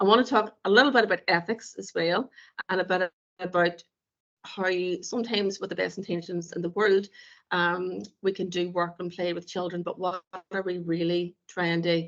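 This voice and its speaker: A woman with a Northern Irish accent speaks at a medium pitch and a moderate pace with fairly even intonation. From Northern Ireland. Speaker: play therapist. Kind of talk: webinar presentation. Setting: online webinar.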